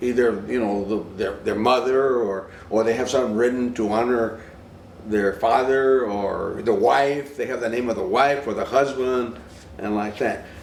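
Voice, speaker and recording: A man's medium-pitched, fairly even voice at a moderate pace, with audible room echo. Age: 70s. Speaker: interviewee on tattoo culture. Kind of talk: documentary interview. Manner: halting.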